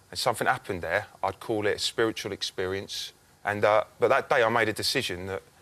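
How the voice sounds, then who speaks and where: On a very clean recording with a silent background, a man with a fairly low pitch and a bright, sharp tone speaks at a fairly quick pace with fairly even intonation. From England, Norwich. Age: 20s. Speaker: game show contestant. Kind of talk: casual chat. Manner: halting.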